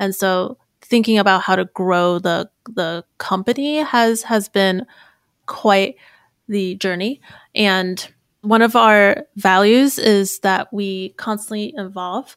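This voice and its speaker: A woman at a medium pitch speaks at a very slow pace in a dry, close sound with no echo, the recording very clean and the background silent. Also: ordinary pitch variation. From North America. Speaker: tech startup co-founder. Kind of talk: casual interview.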